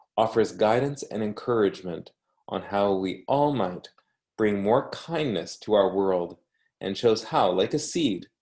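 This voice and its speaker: A man speaks in an unremarkable speaking voice at a medium pitch. His intonation is lively, his pace fairly slow, and the background quiet. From Canada. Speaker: academic reading a book for language learners. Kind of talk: reading aloud.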